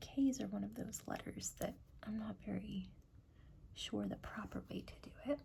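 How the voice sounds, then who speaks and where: At a moderate pace, someone soft-spoken is talking. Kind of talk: ASMR bullet journal setup talk to camera.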